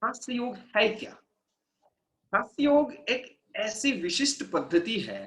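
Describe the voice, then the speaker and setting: A man's voice at an extremely high pitch for a man. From India, outside Hindi-speaking north. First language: non-Hindi Indian language (speaking Hindi). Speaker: laughter yoga instructor. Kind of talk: wellness workshop talk. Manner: casual, mixes Hindi and English.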